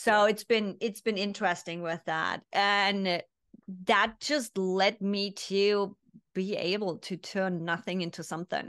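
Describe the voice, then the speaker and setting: With a German accent, a woman talks at a fairly slow pace, her medium pitch following fairly even intonation. The background is quiet and the sound is dry with no echo. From East Germany. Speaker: business consultant and mindset coach; mindset coach. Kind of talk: interview. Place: home room.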